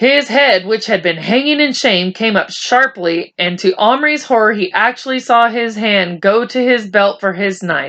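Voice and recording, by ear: A natural voice reading text aloud.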